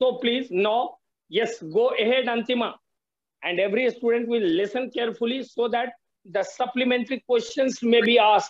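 At a moderate pace, a man speaks with an extremely high pitch and fairly even intonation. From India. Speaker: political science teacher. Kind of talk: classroom seminar moderation. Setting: video call. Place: home room. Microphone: video call.

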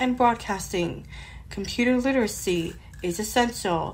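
A woman speaks at a fairly slow pace with ordinary pitch variation. Her voice sounds somewhat breathy. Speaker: blind tech podcaster. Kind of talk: newscaster-style narration.

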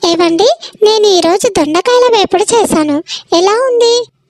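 In a squeaky, cartoonish character voice, a woman speaks at an extremely high pitch and a fairly slow pace with lively intonation. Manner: chatty, impulsive.

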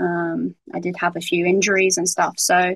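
A woman with a southern English accent speaks at a moderate pace. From southern England. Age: 20s. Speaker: professional footballer. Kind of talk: casual interview.

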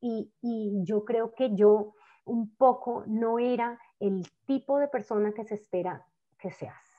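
There is a woman talking. Nothing much is heard behind her. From Colombia, Cali (Valle del Cauca); Colombia. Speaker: novelist. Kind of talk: conversation. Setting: video call. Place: home room. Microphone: earbuds.

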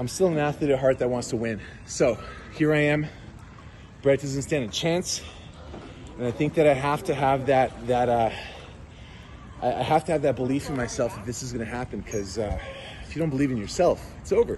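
At a moderate pace, a man speaks with long, frequent pauses over light background noise. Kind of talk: casual vlog chat. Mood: playful trash talk. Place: waterside. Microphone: phone near.

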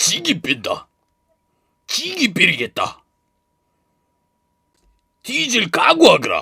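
A man in a put-on character voice at a very slow pace, with long, frequent pauses. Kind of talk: game character voice sample.

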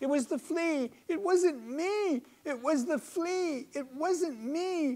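A high-pitched put-on character voice at a very slow pace. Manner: pitiful, pleading.

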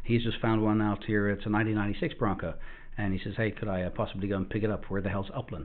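At a very fast pace, a man talks in a fairly low pitch with fairly even intonation. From South Africa. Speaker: off-road vehicle shop owner. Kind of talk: casual interview. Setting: studio. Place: studio.

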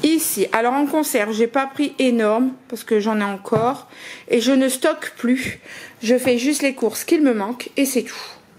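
Her voice is high for a woman, and her pitch varies in an ordinary way. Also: moderate pace. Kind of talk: casual vlog chat. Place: home room. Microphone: phone near.

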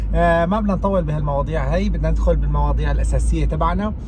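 Very fast speech, dry with no echo, over noticeable background noise. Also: man. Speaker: youtuber. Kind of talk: casual vlog chat. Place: car. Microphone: phone near.

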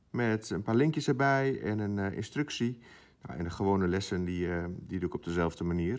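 Against a quiet background, a man with a plain, everyday voice talks at a moderate pace, fairly low in pitch with ordinary pitch variation. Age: 20s. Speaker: primary school teacher. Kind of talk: casual vlog. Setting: at school. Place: classroom.

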